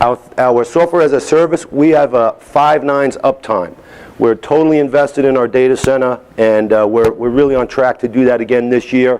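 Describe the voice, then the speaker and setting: With a New York accent, a man talks at a medium pitch and a moderate pace, with ordinary pitch variation. His loudness stays very even, and background noise is noticeable. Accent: New York accent, toned down. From New York City (Staten Island/Manhattan). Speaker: software company executive, conference speaker. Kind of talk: conference keynote.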